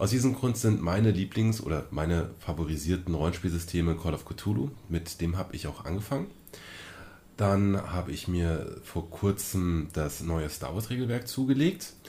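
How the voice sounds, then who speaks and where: A man's very deep, low pitch in a dark, mellow, somewhat breathy tone, at a moderate pace with ordinary pitch variation. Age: 30s. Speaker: podcast co-host, role-playing game master. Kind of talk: casual chat.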